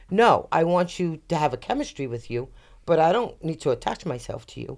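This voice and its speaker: A woman with a fairly low pitch talks at a fairly quick pace in an animated tone. The recording is very clean, with a silent background. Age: 60s. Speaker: podcast guest sharing dating stories. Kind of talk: casual chat.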